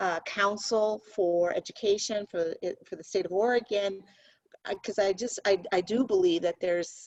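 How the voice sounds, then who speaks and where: A woman with a plain, everyday voice speaks at a medium pitch and moderate pace, her intonation fairly even. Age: 60s. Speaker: company CEO. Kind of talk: interview.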